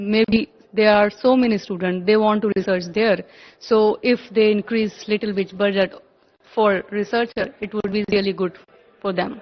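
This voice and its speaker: A woman speaks at a moderate pace in a medium pitch, her intonation monotone and flat. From India. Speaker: student abroad. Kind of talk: street interview.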